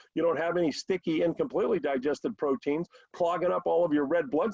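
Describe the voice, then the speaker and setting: A man talks at a very fast pace with a high pitch. His pitch variation is ordinary, and the sound is dry and close with no echo. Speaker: product educator on a company call. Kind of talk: educational sales talk. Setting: conference call. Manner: animated.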